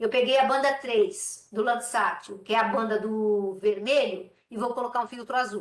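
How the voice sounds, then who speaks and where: A woman speaks in a high pitch. Her pitch variation is ordinary. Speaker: remote sensing lecturer. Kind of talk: lecture. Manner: fast.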